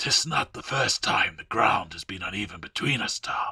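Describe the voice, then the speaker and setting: Using a put-on character voice, a raspy man speaks at a moderate pace and medium pitch. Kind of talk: audio story reading. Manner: taunting, sly.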